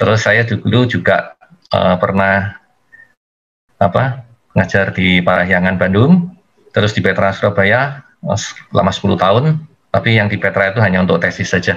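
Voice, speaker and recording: A man speaks at a moderate pace with an East Javanese accent. His loudness stays very even, and his pitch varies in an ordinary way. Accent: East Javanese speaking style, fairly blunt. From East Java, Indonesia (Malang). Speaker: engineering instructor, workshop speaker. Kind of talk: webinar lecture. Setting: video call webinar.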